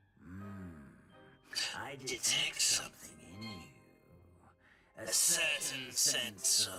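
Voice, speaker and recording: A put-on character voice moves at a very slow pace, with faint music in the background. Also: man, medium pitch for a man. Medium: video game. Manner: musing, slow, humming.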